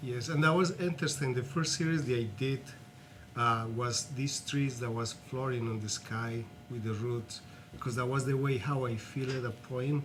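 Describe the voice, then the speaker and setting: Over music in the background and audible room echo, a man in a Colombian accent speaks at a medium pitch with fairly even intonation. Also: moderate pace. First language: Spanish. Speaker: artist and activist. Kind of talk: interview.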